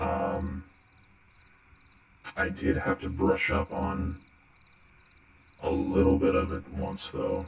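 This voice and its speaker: In a put-on character voice, a man growls out raspy, very deep, low tones at a very slow pace, with a slight echo around him. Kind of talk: ASMR roleplay. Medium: audio drama. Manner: hesitant, soft-spoken, friendly.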